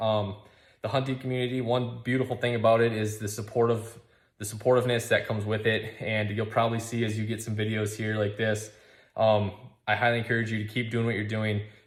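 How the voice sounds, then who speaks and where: Speaking at a very fast pace with an American accent, a man sounds somewhat breathy and monotone, his flat delivery carrying an audible room echo. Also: medium pitch for a man. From Minnesota. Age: 30s. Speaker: outdoors company founder. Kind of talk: recorded video message. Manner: halting, with many fillers.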